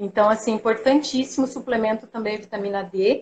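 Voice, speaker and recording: A woman speaks at a fairly high pitch. Her pitch varies in an ordinary way over a quiet background. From Paraná, Brazil. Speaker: sports nutritionist and marathon runner. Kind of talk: live video interview. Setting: video call from home. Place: home room. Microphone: video call.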